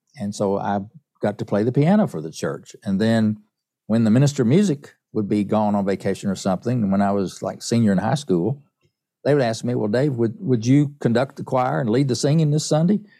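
A man with an Appalachian accent talks at a fairly quick pace, his pitch medium. His tone is dark and mellow, and the recording is very clean over a silent background. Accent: Southern US (Appalachian). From East Tennessee (Appalachian mountains). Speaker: songwriter and pianist. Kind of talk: interview.

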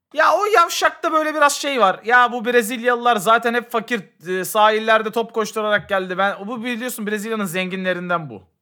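A man's high, bright, sharp voice is raised and projected with big swings in loudness, moving at a moderate pace with hardly any pauses in a very clean recording with a silent background. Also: ordinary pitch variation. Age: 30s. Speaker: podcast co-host. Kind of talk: casual chat.

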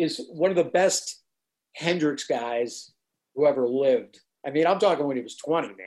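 A man with an American accent, lively intonation and a moderate pace. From New Jersey. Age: 60s. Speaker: musician. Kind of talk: interview recollection.

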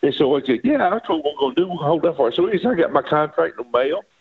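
Speaking very fast, a man with an Arkansas accent uses a high pitch and lively intonation. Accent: US Southern (Arkansas). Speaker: retired baseball pitcher and coach. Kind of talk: casual interview, storytelling.

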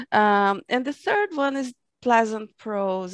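On a very clean recording with a silent background, a woman with a Portuguese accent speaks at medium pitch with ordinary pitch variation, the sound dry and close with no echo. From Brazil. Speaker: fantasy and sci-fi author. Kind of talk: interview. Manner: halting.

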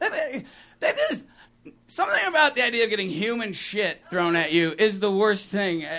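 A man uses a raised, projected voice at a moderate pace. His tone is bright and sharp, with lively intonation. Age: 50s. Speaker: stand-up comedian. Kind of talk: stand-up. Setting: stage with audience.

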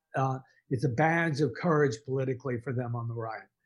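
With an American accent, a man talks in a somewhat breathy voice at a fairly high pitch, using ordinary pitch variation. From Texas, Dallas. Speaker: author and journalist. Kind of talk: interview. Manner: halting, many fillers.

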